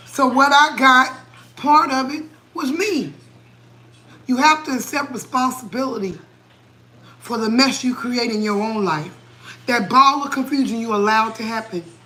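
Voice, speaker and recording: A woman's high-pitched, bright, sharp voice is raised and projected, with an animated tone, ordinary pitch variation, a moderate pace, long, frequent pauses and audible room echo. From New England. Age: 40s. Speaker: cooking livestreamer. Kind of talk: livestream chat, motivational rant. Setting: live stream at home, late night. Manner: animated, preachy.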